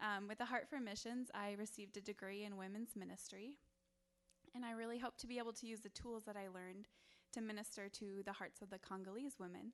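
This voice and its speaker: An unremarkable speaking voice from a woman with an American accent, fairly quick in pace, with fairly even intonation. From Wisconsin. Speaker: missionary and stay-at-home mom. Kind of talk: mission presentation and testimony to a church.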